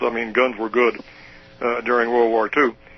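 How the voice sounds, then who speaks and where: Noticeable background noise sits behind the speaker. He is a man with an American accent. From US Midwest, southern Illinois. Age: 70s. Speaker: retired professor. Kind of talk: interview. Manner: halting.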